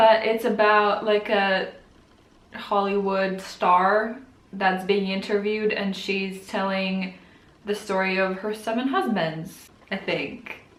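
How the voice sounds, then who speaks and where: With a non-native accent, a woman talks in a monotone, flat intonation, and audible room echo surrounds her voice. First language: not English. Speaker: book vlogger. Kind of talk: casual vlog talk.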